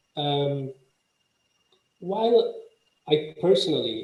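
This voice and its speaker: A man is speaking. Room echo can be heard. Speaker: legal professional speaking on aviation justice. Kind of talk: conference presentation. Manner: halting, many fillers.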